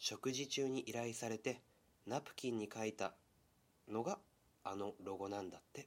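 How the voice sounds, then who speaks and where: In a relaxed tone, a man speaks at a moderate pace and medium pitch, with ordinary pitch variation and long, frequent pauses. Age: 20s. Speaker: radio-style podcast host. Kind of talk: casual solo radio talk. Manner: relaxed, laughs often.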